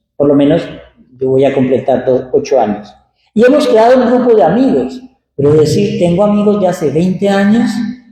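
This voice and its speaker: This man's dark, mellow tone moves through very wide pitch swings at a moderate pace, with audible room echo. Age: 60s. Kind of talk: sermon. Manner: conversational.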